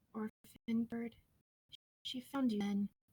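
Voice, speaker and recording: Put-on character voice from a woman, fairly high-pitched, growling and wheezy. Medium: read story.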